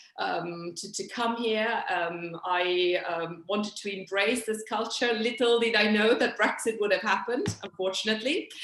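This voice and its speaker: A woman with an Italian accent at a fairly slow pace, ordinary pitch variation and noticeable background noise. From Italy, Milan. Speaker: interpreter and translator, activist. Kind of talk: video call panel talk. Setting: video call. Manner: hesitant, many fillers.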